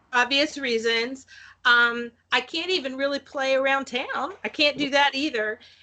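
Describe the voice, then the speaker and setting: A woman's raised, projected voice, bright and sharp in tone, high in pitch, with fairly even intonation at a moderate pace. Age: 50s. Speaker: folk musician. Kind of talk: casual chat.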